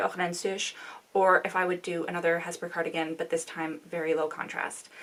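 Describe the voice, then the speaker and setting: A woman with a Canadian accent at a moderate pace, with noticeable background noise. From Canada. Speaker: knitting vlogger. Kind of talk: casual chat. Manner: halting.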